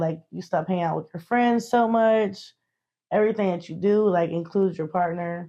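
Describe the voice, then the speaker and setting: A woman's medium-pitched voice with an American accent, dark and mellow in tone, at a moderate pace with fairly even intonation against a quiet background. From western North Carolina. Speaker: interviewee. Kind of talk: interview. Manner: casual.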